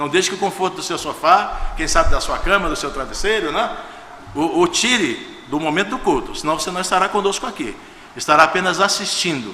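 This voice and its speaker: A man with a high pitch uses a raised, projected voice at a fairly quick pace with ordinary pitch variation, amid noticeable background noise and audible room echo. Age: 60s. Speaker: guest pastor. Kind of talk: sermon. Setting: church service. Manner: informal, conversational.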